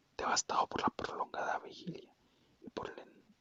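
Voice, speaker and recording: Someone whispers at a moderate pace. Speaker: ASMR creator. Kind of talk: whispered book reading for sleep. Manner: whispered.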